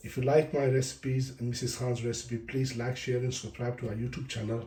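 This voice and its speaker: A man talks at a fairly quick pace with a medium pitch. His voice is somewhat breathy, with monotone, flat intonation. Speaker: cooking channel host. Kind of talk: cooking tutorial. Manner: casual, informal.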